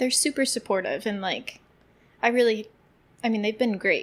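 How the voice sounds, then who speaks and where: A woman with a fairly high voice speaks with fairly even intonation. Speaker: elementary school teacher and podcast co-host. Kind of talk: casual chat. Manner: loud.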